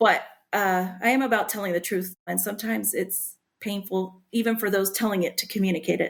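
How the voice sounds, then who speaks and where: Speaking with a Spanish accent, a woman uses a medium pitch and fairly even intonation at a fairly quick pace, captured in a very clean recording with a silent background. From Puerto Rican background, US. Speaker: author. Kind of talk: podcast interview.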